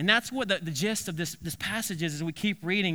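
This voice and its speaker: A man's raised, projected voice, high-pitched with a bright, sharp tone, ordinary pitch variation and a very fast pace. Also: very clean recording, silent background. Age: 30s. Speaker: pastor. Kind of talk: sermon. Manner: halting.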